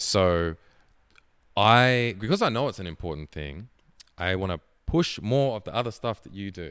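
In an Australian accent, a man speaks at a moderate pace and a fairly low pitch, his intonation lively. His loudness swings a lot, and he takes long, frequent pauses. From Tasmania, Australia (Hobart). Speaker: podcast host, gamer and model. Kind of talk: casual chat.

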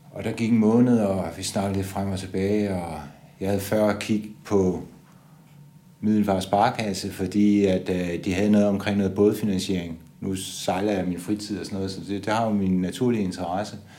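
Audible room echo surrounds a man whose dark, mellow tone sits at a fairly low pitch, delivered at a moderate pace in a monotone, flat intonation. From Denmark, Funen (Odense). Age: 60s. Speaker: bank adviser. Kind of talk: interview testimony. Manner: hesitant, many fillers.

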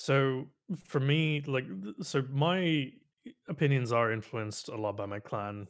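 Heard on a very clean recording with a silent background, a man has an unremarkable speaking voice with ordinary pitch variation. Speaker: gamer and streamer. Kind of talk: casual chat. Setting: voice call stream.

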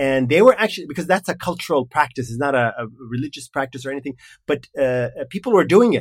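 On a very clean recording with a silent background, a man speaks very fast in an Arabic accent, his pitch fairly high and his intonation lively. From Kuwait. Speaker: entrepreneur. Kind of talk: casual chat. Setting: studio. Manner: halting.

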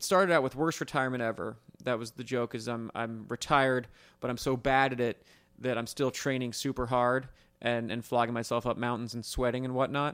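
On a very clean recording with a silent background, a man with an ordinary speaking voice and medium pitch talks at a fairly quick pace with fairly even intonation. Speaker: retired racer, interviewee. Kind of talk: casual interview. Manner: joking, brash.

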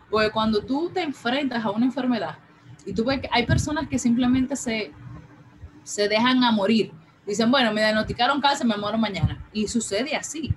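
A woman's fairly high pitch with ordinary pitch variation, over noticeable background noise. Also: moderate pace. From Dominican Republic, Santo Domingo. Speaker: breast cancer survivor. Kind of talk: interview testimony.

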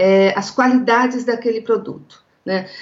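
A woman speaks at a fairly high pitch with a São Paulo countryside accent. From interior of São Paulo state, Brazil. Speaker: legal executive and negotiation lecturer. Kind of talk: interview, explanatory.

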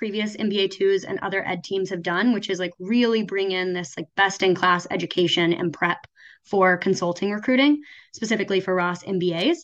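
With ordinary pitch variation, a normal speaking voice proceeds at a moderate pace. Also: woman. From Oklahoma. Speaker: MBA student. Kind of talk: casual interview.

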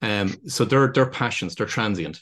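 A man speaks with a Dublin accent. His pace is moderate and his intonation lively. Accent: Irish (Dublin). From Ireland, County Dublin. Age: 50s. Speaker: business consultant. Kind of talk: interview.

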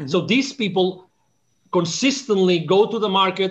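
A man speaks at a high pitch. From Spain, near Barcelona. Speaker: business consultant. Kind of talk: interview conversation.

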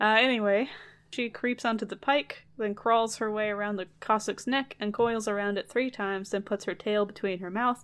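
Intonation stays fairly level. The voice reads naturally.

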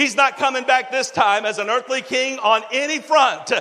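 Through noticeable background noise, a man with an animated tone uses a raised, projected voice at a moderate pace. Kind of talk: sermon. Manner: animated, exhortative pulpit delivery with call-and-response.

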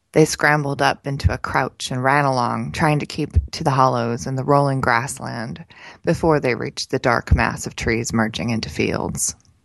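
Over a quiet background, the speaker uses an animated tone with lively intonation and vocal fry at a moderate pace. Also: woman, very deep, low pitch for a woman. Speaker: podcast co-host and editor. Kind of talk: casual chat, and expressive reading aloud of a novel excerpt. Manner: animated, conversational; in the reading, measured narrator with character dialogue.

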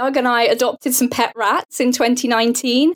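This woman has a southern England accent. Her pitch is fairly high. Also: dry, close sound with no echo. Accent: British English, southern England. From Portsmouth, south coast of England. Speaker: app founder and sewist. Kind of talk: casual interview conversation.

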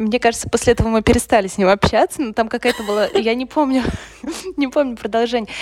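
Over background music, a woman talks very fast in a fairly high pitch with ordinary pitch variation. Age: 30s. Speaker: podcast co-host. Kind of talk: casual chat. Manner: hesitant, many fillers.

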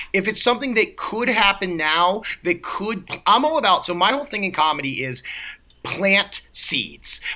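A man with a high pitch speaks in a raised, projected voice at a moderate pace, his pitch swinging very widely. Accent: American. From US East Coast, Baltimore. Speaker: comedian and actor. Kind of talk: casual chat.

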